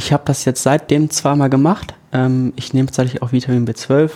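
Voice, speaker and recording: A man talks at a fairly quick pace with a medium pitch, fairly even intonation, and a dark, mellow tone. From northern Germany, Lower Saxony. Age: 20s. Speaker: education student. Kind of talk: casual chat.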